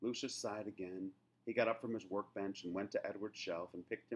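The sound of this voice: An unforced reading voice, pitch varying in the ordinary way.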